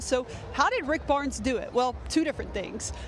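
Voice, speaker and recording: There is noticeable background noise. Through it, a woman talks at a moderate pace. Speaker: sports reporter. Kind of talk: TV news package narration.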